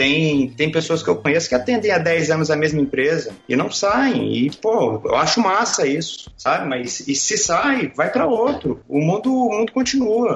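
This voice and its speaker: Speaking at a moderate pace with very wide pitch swings, a man is heard over noticeable background noise. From Brazil, Brasília. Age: 30s. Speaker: sports photographer. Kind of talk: casual interview chat.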